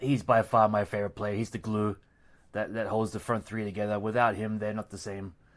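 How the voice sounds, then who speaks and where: A man with an Australian accent, fairly low pitch, and monotone, flat intonation, in a very clean recording with a silent background. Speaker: football podcast co-host. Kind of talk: casual chat.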